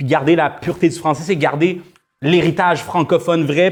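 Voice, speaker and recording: A man speaks with a high pitch. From Quebec, Rouyn-Noranda. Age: young. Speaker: musician. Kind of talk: casual chat.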